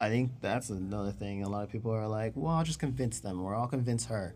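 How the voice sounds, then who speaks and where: This man has a normal speaking voice. His pitch is medium, with ordinary pitch variation. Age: 30s. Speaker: engaged partner interviewed about relationship. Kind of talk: casual interview.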